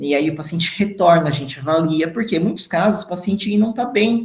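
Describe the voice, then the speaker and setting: A man talks at a fairly quick pace. He has an unremarkable speaking voice with ordinary pitch variation. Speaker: dentist lecturer. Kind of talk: lecture.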